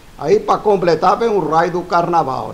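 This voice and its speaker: A man, with noticeable background noise. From Italy. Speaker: spiritual teacher. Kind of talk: casual talk to camera. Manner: fast; muddled, halting.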